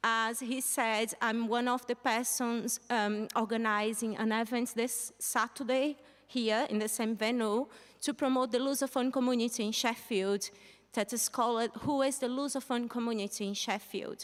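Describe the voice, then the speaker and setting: A woman speaks with a Brazilian accent at a fairly high pitch. Her intonation is monotone and flat. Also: moderate pace, very even loudness. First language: Portuguese. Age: 30s. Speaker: journalist. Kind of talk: stage talk. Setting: stage with audience.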